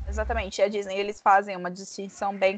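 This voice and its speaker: A woman of medium pitch talks in a monotone, flat intonation. The sound is dry and close with no echo, over a quiet background. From Brazil, Bauru, interior of São Paulo state. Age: 30s. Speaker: podcast co-host, travel consultant. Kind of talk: casual chat.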